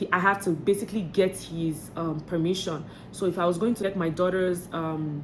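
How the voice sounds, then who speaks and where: The woman's voice is fairly low-pitched and monotone, with flat intonation. Audible room echo is present. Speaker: vlogger. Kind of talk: vlog tips talk. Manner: fast; hesitant, many fillers.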